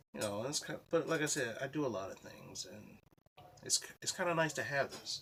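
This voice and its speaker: A man with a fairly high pitch and vocal fry speaks at a moderate pace, with big swings in loudness. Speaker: vlogger. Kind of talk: casual vlog monologue. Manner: halting, self-described stuttering.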